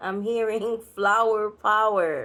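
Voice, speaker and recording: At a very slow pace, a woman speaks with a fairly high pitch and a bright, sharp tone. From New York, Puerto Rican heritage. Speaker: spiritual reader. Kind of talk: channeled spiritual reading. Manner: casual, direct.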